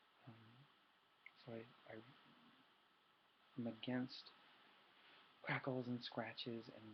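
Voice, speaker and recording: A man's medium-pitched, somewhat breathy voice in a monotone, flat intonation. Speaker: ASMR youtuber. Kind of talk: casual ASMR intro talk. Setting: webcam recording at home at midnight. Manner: soft-spoken.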